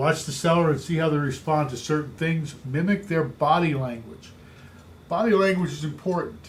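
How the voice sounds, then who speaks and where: Moderately paced male speech, a bit breathy and rather high in pitch. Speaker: real estate coach. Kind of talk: training talk.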